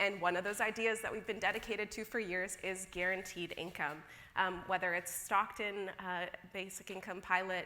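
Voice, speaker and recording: A woman with a Midwestern US accent talks at a moderate pace in a monotone, flat intonation. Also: medium pitch for a woman. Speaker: policy researcher. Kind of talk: conference opening remarks. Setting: stage with audience.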